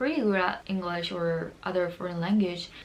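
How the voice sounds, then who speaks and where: The speaker has a Korean accent and ordinary pitch variation. Noticeable background noise is present. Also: woman. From Seoul, South Korea. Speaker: lifestyle YouTuber. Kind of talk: casual talk to camera.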